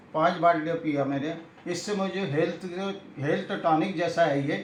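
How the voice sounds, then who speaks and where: Amid noticeable background noise and audible room echo, a man with a high pitch speaks with fairly even intonation. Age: 80s+. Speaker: retired health officer, customer giving testimonial. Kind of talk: testimony. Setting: interview.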